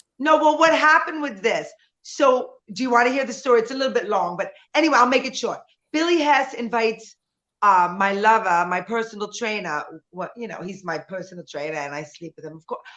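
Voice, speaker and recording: At a fairly quick pace, a woman with a fairly high pitch and a bright, sharp tone talks in an animated tone, her pitch swinging very widely and her loudness swinging a lot. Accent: New York. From US Northeast, New York City (Bronx). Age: 60s. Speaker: nightclub singer and performer. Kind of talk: casual chat.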